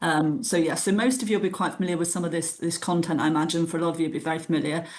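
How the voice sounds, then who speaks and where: Over audible room echo, a woman with a British accent speaks at a very fast pace in a very deep, low pitch. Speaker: tax adviser presenting a webinar. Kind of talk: webinar lecture. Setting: online webinar.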